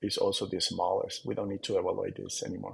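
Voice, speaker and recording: A man speaks with a non-native accent. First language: not English. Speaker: software developer. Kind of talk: tutorial. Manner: halting, with fillers.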